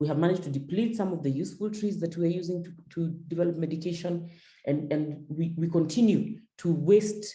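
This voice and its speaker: Fairly low in pitch and somewhat breathy, a woman speaks at a fairly quick pace with ordinary pitch variation. Room echo is audible. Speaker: feminist climate advocate, panelist. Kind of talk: panel discussion, webinar talk. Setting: video call webinar with interpretation. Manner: fast; repetitive, with frequent stammered repeats.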